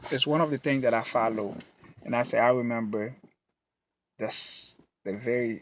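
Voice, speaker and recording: This is a man speaking. His pitch is medium. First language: not English. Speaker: motivational vlogger. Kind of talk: motivational talk to camera. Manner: halting; animated.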